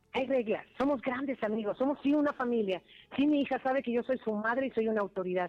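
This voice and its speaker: A woman with a high pitch talks at a very fast pace in an animated tone, keeping her loudness very even and her pitch variation ordinary. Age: 50s. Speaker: singer. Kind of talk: interview.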